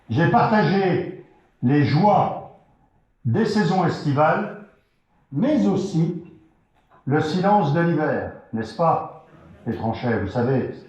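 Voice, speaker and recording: A man with a fairly high pitch and vocal fry speaks at a very slow pace, his pitch swinging very widely, with long, frequent pauses and audible room echo. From France, Vendée. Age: 60s. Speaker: local election candidate. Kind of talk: campaign rally speech. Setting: hall with audience. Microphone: poor sound.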